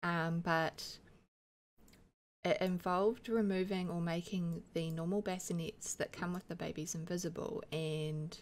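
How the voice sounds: Croaky and fairly low-pitched, a woman speaks at a fairly slow pace with fairly even intonation.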